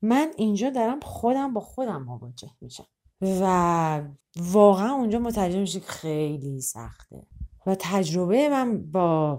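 A woman's dark, mellow, medium-pitched voice at a fairly slow pace, with very wide pitch swings and big swings in loudness. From Iran, Tehran. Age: 30s. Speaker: performance artist. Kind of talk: interview.

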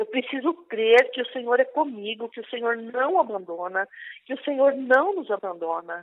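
A woman's high-pitched voice, full of lively intonation, keeps to a moderate pace. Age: 60s. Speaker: prayer group coordinator. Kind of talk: testimony and preaching. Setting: online radio broadcast.

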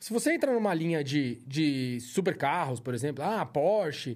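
The pitch swings very widely in this very clean recording with a silent background. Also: man. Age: middle-aged. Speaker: auto body and paint shop owner. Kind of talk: casual podcast interview.

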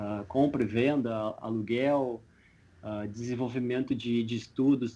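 A man with a plain, everyday voice, medium pitch, fairly even intonation and a fairly slow pace. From southern Brazil, Porto Alegre. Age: 30s. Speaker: coliving company founder, entrepreneur. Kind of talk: radio interview.

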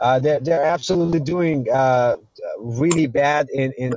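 Fairly slow speech from a man with an American accent. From Iran. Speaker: caller. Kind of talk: debate. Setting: call-in to livestream. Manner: halting.

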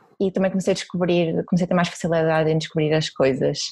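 A woman with a Porto accent. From Porto, northern Portugal. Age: 20s. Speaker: sustainability blogger and YouTuber. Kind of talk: interview testimony.

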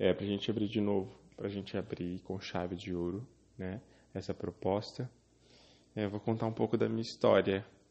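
This man has a fairly low pitch and fairly even intonation. He keeps a moderate pace broken by long, frequent pauses. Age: 20s. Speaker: podcast host. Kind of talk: casual chat. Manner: halting.

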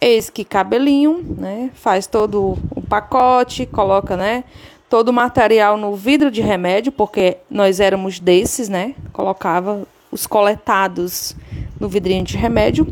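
Her pitch is medium for a woman, with ordinary variation, and she has a plain, everyday voice. The woman speaks at a fairly slow pace. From Ceará, Brazil. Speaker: listener. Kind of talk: recorded voice message.

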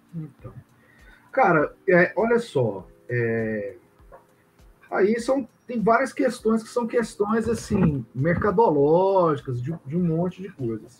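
Over noticeable background noise, a man with a high pitch speaks very slowly, his pitch swinging very widely between long, frequent pauses. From Goiânia, Brazil. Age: 50s. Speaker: comics publisher and cultural producer. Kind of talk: casual interview chat. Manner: hesitant, repeats words.

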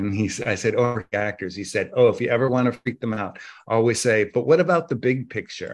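A man with an American accent has an unremarkable speaking voice and ordinary pitch variation. He goes at a moderate pace against a quiet background. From US Northeast, Massachusetts. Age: 50s. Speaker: dancer and choreographer. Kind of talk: interview conversation.

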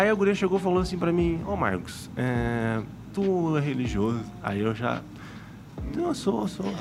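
Amid noticeable background noise and audible room echo, a man's pitch swings very widely, broken by long, frequent pauses. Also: medium pitch for a man, moderate pace. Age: 20s. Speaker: podcast host. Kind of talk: casual chat. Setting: studio.

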